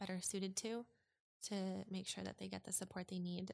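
A woman talks at a moderate pace. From Alberta, Canada (Edmonton suburb). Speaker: former interior designer sharing mental health story. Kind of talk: casual interview. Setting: in person. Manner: hesitant, many fillers.

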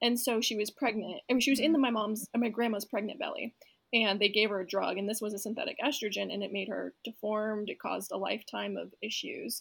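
With vocal fry and a fairly high pitch, a woman speaks with ordinary pitch variation. Her pace is very fast, with hardly any pauses. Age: 20s. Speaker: health startup founder. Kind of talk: casual interview.

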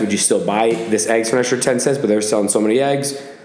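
Someone with an American accent speaks at a very fast pace with ordinary pitch variation. Noticeable background noise and audible room echo fill the recording. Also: man. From Massachusetts. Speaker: podcast host. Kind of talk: casual chat.

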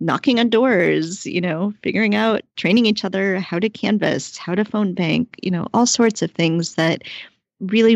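A woman talks at a moderate pace with an American accent and vocal fry. The sound is dry and close, with no echo. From rural Ohio, US Midwest. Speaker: political activist and podcast host. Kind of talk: interview.

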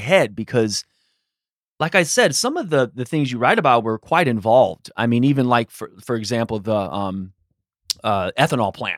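Over a very clean recording with a silent background, a man with an American accent speaks at a moderate pace and medium pitch. He has a plain, everyday voice with lively intonation. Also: dry, close sound with no echo. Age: 40s. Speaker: podcast host and teacher. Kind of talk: interview and scripted narration.

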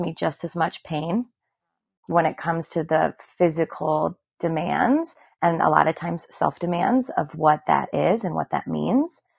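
Vocal fry marks a woman's fairly low voice, dry and close with no echo, in a very clean recording with a silent background. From Milwaukee, Wisconsin, US Midwest. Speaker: fitness instructor. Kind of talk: casual chat.

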